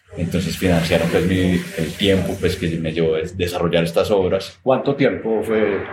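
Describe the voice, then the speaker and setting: Noticeable background noise and audible room echo around a man's very deep, low voice, with ordinary pitch variation at a moderate pace. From Colombia, Armenia, Quindío. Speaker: painter and coffee shop owner. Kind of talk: interview. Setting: small coffee shop. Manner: clear and expressive.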